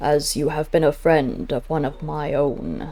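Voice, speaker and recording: A put-on character voice at a low-to-middle pitch and a moderate pace. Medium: read story. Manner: slow, solemn, measured.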